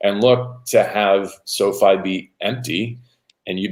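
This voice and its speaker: A man speaks in a normal speaking voice with a fairly low pitch. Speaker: radio play-by-play announcer. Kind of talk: relaxed interview answer about football.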